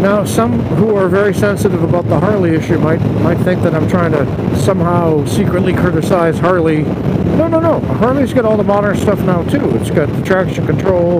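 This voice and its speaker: Loud background noise surrounds a dry voice with no echo, speaking at a moderate pace with ordinary pitch variation. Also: man. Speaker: motovlogger. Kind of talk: casual vlog chat. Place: motorbike. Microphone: helmet.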